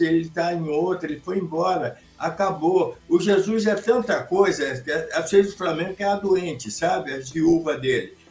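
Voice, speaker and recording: Noticeable background noise sits behind a man who speaks at a moderate pace in a high voice with ordinary pitch variation. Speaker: sports commentator panelist. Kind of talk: casual sports chat livestream. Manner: animated.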